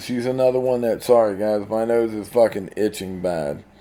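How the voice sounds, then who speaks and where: A man speaks at a medium pitch in an unremarkable speaking voice. His pitch variation is ordinary and his pace moderate. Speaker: card game content creator. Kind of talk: casual gameplay commentary.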